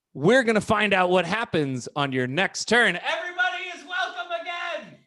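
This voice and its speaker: A man's raised, projected voice, extremely high in pitch, with very wide pitch swings and big swings in loudness, at a moderate pace, with crowd noise in the background. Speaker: game master of a comedy role-playing podcast. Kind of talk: improvised tabletop game narration. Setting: video call.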